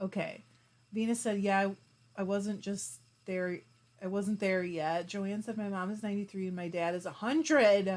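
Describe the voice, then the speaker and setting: In a very clean recording with a silent background, a woman with a normal speaking voice talks at a moderate pace in a medium pitch with ordinary pitch variation. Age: 40s. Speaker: fiber arts YouTuber. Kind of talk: livestream chat reading comments. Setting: live stream. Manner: casual, chatty.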